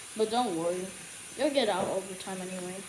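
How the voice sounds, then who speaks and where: Clear background noise and noticeable room echo surround a voice whose pitch shifts in a normal way. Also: woman. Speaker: YouTuber doing cube unboxing. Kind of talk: casual unboxing video. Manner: soft-spoken; halting.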